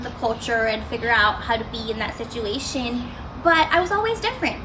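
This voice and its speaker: A woman projects a raised voice over noticeable background noise, with audible echo in the room. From Arizona, US, then India from age nine. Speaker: student speaker. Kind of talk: motivational talk.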